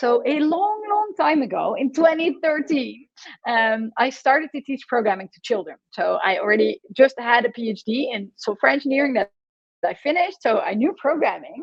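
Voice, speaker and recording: A woman's high-pitched voice at a moderate pace, with very wide pitch swings. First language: Dutch. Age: 40s. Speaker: computer science professor. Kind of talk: conference talk.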